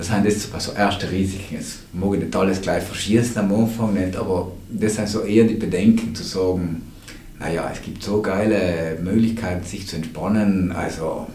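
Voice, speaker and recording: A man with a fairly low pitch speaks with fairly even intonation. Audible room echo and noticeable background noise surround the voice. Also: moderate pace, big swings in loudness. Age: 50s. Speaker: addiction prevention director. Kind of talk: casual chat.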